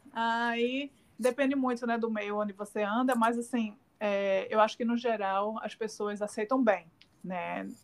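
The speech moves at a fairly slow pace. The intonation stays monotone and flat. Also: woman, fairly high pitch for a woman. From Brazil. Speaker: communications professional and podcast host. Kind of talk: casual interview chat.

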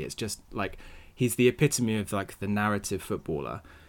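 On a very clean recording with a silent background, a man talks at a fairly quick pace in a normal speaking voice. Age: 20s. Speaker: football podcast co-host. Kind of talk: casual chat.

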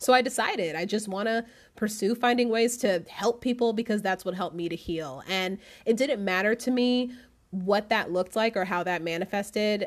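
In a normal speaking voice, a woman with a fairly high pitch talks at a moderate pace with ordinary pitch variation, on a very clean recording with a silent background. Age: 30s. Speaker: podcast host and life coach. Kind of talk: casual solo talk and tarot reading. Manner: laughs often, relaxed.

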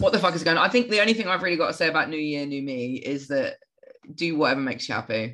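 A woman with a British accent speaks very fast in a very deep, low voice. Her tone is bright and sharp, and her intonation is lively. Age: 30s. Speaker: podcast co-host. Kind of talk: casual chat.

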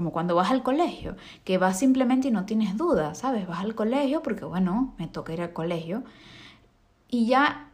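A somewhat breathy woman's voice, fairly high in pitch, with lively intonation and a moderate pace. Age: 20s. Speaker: podcast host and makeup artist. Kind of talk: solo monologue podcast.

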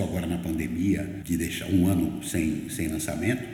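A man speaks with a very deep, low pitch and fairly even intonation at a moderate pace. Room echo is audible. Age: 60s. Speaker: writer and journalist. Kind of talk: interview conversation.

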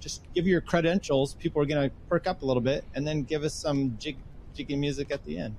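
A man with an American accent speaks at a fairly high pitch. His voice is somewhat breathy. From US Northwest. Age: 50s. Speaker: podcaster, engineer. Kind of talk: casual chat.

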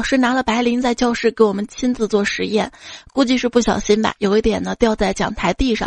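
Over music in the background, a woman speaks in an animated tone at a fairly quick pace and a fairly high pitch. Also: dry, close sound with no echo. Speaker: podcast host. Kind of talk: reading jokes aloud. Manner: animated, laughs often.

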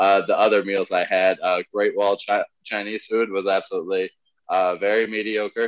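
At a medium tempo, a man's voice comes through dry and close, with no echo at all. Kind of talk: casual comedy podcast chat.

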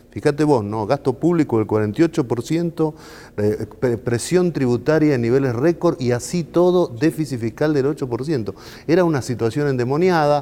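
In a Rioplatense accent, a man talks at a fairly slow pace and a fairly high pitch. His tone is dark and mellow, with ordinary pitch variation. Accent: Argentine Rioplatense Spanish. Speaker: think tank president. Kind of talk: political talk show discussion. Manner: hesitant, frequent fillers.

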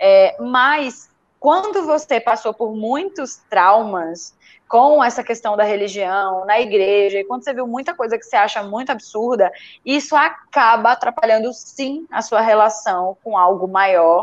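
A woman speaks at a fairly slow pace over a quiet background, with lively intonation and a fairly high pitch. She has an unremarkable speaking voice. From Brazil, Recife. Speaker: writer. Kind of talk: casual chat.

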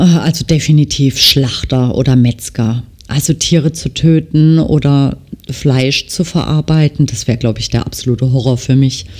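Speaking in a strong Baden accent, the voice moves at a moderate pace with ordinary pitch variation. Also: woman, very deep, low pitch for a woman. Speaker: nail technician and podcast host. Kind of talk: casual monologue. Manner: frequent filler hesitations.

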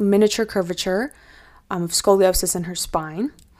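In a Canadian accent, an unremarkable speaking voice moves at a moderate pace with fairly even intonation. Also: woman. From Canada. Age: 20s. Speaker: podcast host. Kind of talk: personal storytelling monologue.

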